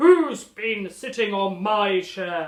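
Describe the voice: This is a put-on character voice, raspy and fairly high in pitch. It comes out bellowing.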